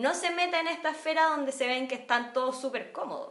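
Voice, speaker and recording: The voice moves at a fairly quick pace against noticeable background noise. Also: woman. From Chile, San Bernardo. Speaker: podcast co-host. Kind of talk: casual political discussion.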